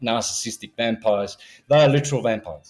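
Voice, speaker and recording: Music plays in the background as a man speaks. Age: 60s. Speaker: conspiracy theorist guest. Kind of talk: podcast interview. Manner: animated.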